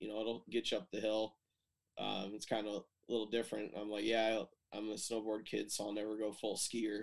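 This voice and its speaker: Monotone and flat, a man with an Upper Midwest accent speaks at a fairly low pitch. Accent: Upper Midwest American. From Michigan, US Midwest. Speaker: telemark skier. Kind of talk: casual chat. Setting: video call.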